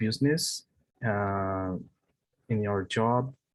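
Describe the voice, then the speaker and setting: A man with a Brazilian Portuguese accent speaks very slowly at a medium pitch with ordinary pitch variation. The sound is dry and close, with no echo. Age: 30s. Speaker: English learner. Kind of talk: online language lesson conversation. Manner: halting, many fillers and repetitions.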